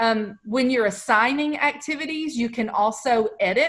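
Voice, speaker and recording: With an American accent, a woman speaks in a somewhat breathy voice with ordinary pitch variation against a quiet background. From Texas. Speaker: educational technology trainer; teacher presenting to colleagues. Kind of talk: webinar tutorial. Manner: casual, conversational. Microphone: video call.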